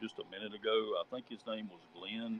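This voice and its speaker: This man talks with lively intonation. He has a Southern US accent. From Charlotte, North Carolina. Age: 50s. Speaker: listener in discussion. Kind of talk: panel discussion. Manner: halting.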